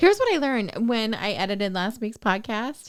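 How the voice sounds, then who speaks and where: Recorded very cleanly against a silent background, a woman speaks fairly high at a moderate pace. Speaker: podcast host. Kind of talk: casual chat. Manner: mumbling, trails off word endings.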